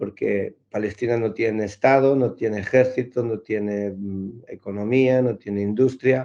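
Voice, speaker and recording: Against a quiet background, a man talks fairly slowly at a medium pitch in an ordinary speaking voice. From Galicia, Spain. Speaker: clown and NGO founder. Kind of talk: interview answer.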